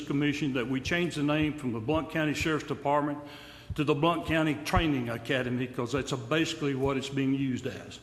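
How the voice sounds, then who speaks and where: A man in an East Tennessee accent talks at a fairly quick pace with a fairly high pitch. His intonation stays fairly even, and the room echo is audible. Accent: East Tennessee Southern American. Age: 70s. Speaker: retiree speaking at public comment. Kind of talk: public comment at a county meeting. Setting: county commission room. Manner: halting.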